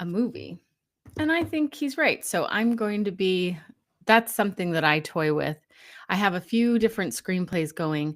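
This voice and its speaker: In a very clean recording with a silent background, a woman speaks at a moderate pace with very wide pitch swings. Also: medium pitch for a woman. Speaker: podcast host and tarot reader. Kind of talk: casual chat. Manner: soft-spoken.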